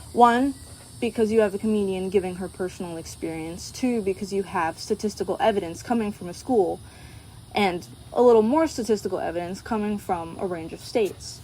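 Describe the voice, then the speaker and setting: Fairly quick pace from a woman, medium in pitch, with ordinary pitch variation. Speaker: college student. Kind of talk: class presentation. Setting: outdoors at sunset. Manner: quiet.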